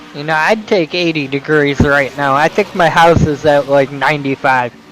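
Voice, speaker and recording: Talking at a moderate pace with ordinary pitch variation, a man pitched fairly high comes through noticeable background noise. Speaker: sim racing commentator. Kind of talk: live commentary.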